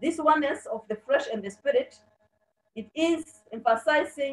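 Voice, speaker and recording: The voice belongs to a woman. She talks at a moderate pace. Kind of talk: sermon. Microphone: video call.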